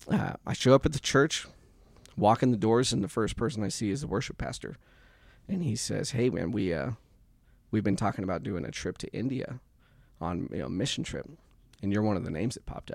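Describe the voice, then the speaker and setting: Speaking at a fairly quick pace with an American accent, a man with a fairly low pitch and vocal fry shows lively intonation and takes long, frequent pauses. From US Midwest, southwest Kansas. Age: 30s. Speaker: church member and mentor. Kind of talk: casual chat. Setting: studio.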